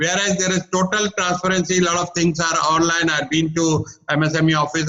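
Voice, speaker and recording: Over noticeable background noise, a man speaks at a moderate pace in a fairly high voice, his loudness very even. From India, Maharashtra (Ulhasnagar). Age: 60s. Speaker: business coach. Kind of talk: webinar presentation. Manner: energetic.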